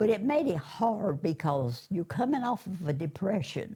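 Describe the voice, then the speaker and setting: With an eastern North Carolina accent, a woman speaks in a dark, mellow, somewhat breathy voice whose pitch swings very widely. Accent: Southern US, eastern North Carolina. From US South, eastern North Carolina. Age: 80s+. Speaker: churchgoer giving testimony. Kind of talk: testimony.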